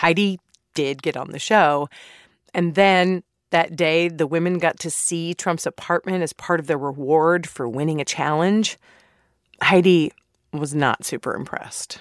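A woman with an unremarkable speaking voice and fairly low pitch talks at a fairly slow pace with fairly even intonation, in a dry, close, echo-free sound on a very clean recording with a silent background. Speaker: podcast host. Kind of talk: scripted narration with interview clips.

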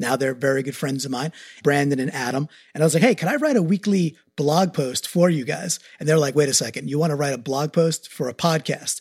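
A man with an American accent speaks at a fairly quick pace in a fairly high, somewhat breathy voice with ordinary pitch variation, recorded very cleanly against a silent background with a dry, close sound and no echo. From New York, Long Island. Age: 40s. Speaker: marketing executive, new co-host. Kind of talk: casual chat.

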